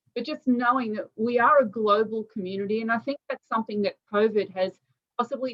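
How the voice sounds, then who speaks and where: A woman with a fairly high pitch and ordinary pitch variation, at a moderate pace. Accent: Australian. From Australia. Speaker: interviewer. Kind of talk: interview.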